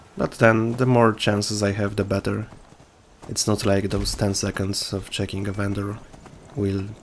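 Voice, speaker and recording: A man speaks with a non-native accent at a moderate pace. His voice is fairly low in pitch, with monotone, flat intonation. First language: not English. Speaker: gaming video creator. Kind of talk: gameplay commentary. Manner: casual, with hesitations.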